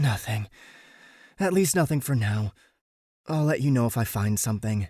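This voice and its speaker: A man's put-on character voice at medium pitch, with lively intonation and a moderate pace, in a very clean recording over a silent background. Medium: read story. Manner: clipped, tense.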